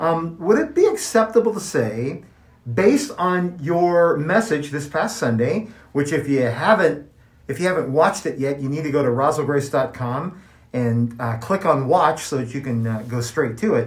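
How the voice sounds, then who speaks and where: Somewhat breathy, this voice carries an American accent and lively intonation. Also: man, fairly high pitch for a man, moderate pace. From US Midwest, Kansas City, Missouri. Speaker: podcast co-host. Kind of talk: casual chat.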